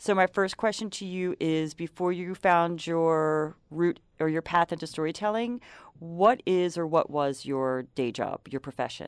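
A woman with a normal speaking voice talks at a fairly slow pace with hardly any pauses, her fairly low pitch showing ordinary variation. The sound is dry and close with no echo, over a quiet background. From Philadelphia. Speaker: podcast host. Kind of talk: scripted intro; casual interview chat. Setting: studio.

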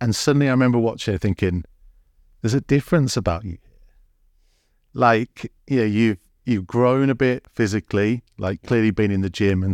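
A man with an English accent speaks at a fairly quick pace in a fairly low pitch, his loudness swinging widely and his pitch varying in an ordinary way, in a very clean, dry, close recording with a silent background and no echo. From England. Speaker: podcast host. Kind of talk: interview.

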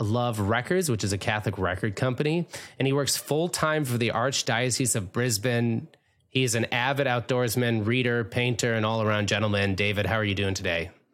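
On a very clean recording with a silent background, a man with a normal speaking voice talks at a medium pitch and a moderate pace, with ordinary pitch variation and very even loudness. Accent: American. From Minnesota. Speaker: podcast host. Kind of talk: interview.

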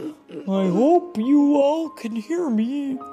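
Faint music plays behind a woman doing a put-on character voice pitched high. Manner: shy, apologetic, quiet.

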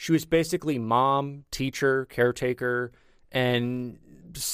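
This is plain reading aloud, delivered with fairly even intonation.

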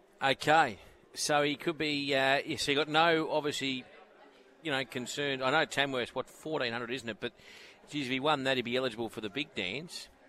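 Bright and sharp in tone, a man with an Australian accent speaks at a fairly high pitch and a moderate pace. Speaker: radio host. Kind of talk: radio interview. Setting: live at sales venue with background noise. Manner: casual, friendly.

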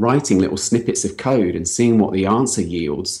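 Someone with a London accent speaks at a moderate pace with ordinary pitch variation. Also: man. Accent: British English, London. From London, England. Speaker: health hacker, former software engineer. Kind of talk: interview about health and talk topic.

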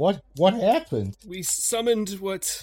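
The speaker does a put-on character voice that sounds shaky. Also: man. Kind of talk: 1920s formal speech. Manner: weak, shaky, remorseful, confessional.

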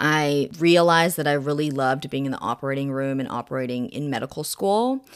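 In a very clean recording with a silent background, a woman speaks with an American accent and hardly any pauses. Her pitch is very deep and low. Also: ordinary pitch variation, fairly quick pace. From Oregon and Texas, US. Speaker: doctor. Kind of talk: casual interview.

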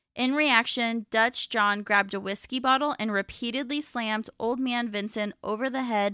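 A woman with a Pacific Northwest accent speaks at a moderate pace in a bright, sharp, fairly high voice with ordinary pitch variation. The very clean recording has a silent background and a dry, close sound with no echo. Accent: American (Pacific Northwest). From US Pacific Northwest. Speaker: true crime podcast host. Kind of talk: scripted narration. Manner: formal.

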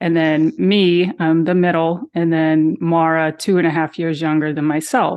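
A woman with a plain, everyday voice speaks at a fairly slow pace with fairly low pitch, fairly even intonation, very even loudness and hardly any pauses. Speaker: sister of missing woman. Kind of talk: interview.

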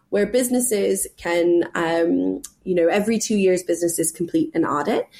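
A woman with an American accent has a plain, everyday voice at medium pitch. She talks at a moderate pace with ordinary pitch variation. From California. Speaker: sustainability charity director. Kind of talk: interview. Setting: call.

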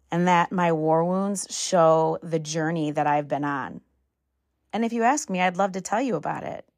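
A woman in an ordinary speaking voice, pitched fairly low, talks at a moderate pace with ordinary pitch variation against a quiet background. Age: 40s. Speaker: podcast host. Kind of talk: casual solo monologue.

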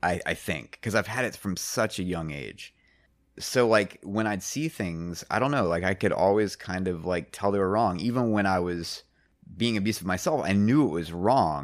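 A man talks at a moderate pace in a very deep, low voice, his pitch varying in an ordinary way. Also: very clean recording, silent background. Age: 40s. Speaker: musician and mastering engineer. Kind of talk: casual chat. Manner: halting.

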